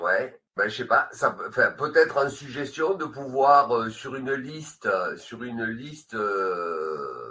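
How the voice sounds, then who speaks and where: A man speaks at a very slow pace. He leaves hardly any pauses. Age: 70s. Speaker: association member asking questions. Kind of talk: webinar Q&A. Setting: video call. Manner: halting, many hesitations.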